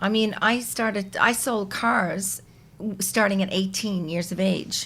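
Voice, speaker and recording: A woman speaks in a normal speaking voice at a medium pitch. Her intonation is fairly even and her pace fairly slow. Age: 60s. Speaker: podcast guest, mother of the host. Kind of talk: casual chat.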